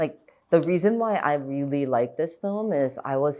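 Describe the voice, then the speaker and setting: With a slight Korean accent, a woman speaks fairly slowly in a very deep, low pitch and a dark, mellow tone. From Chicago suburbs, US Midwest. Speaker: actress. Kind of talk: interview conversation. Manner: casual, many fillers like 'like'.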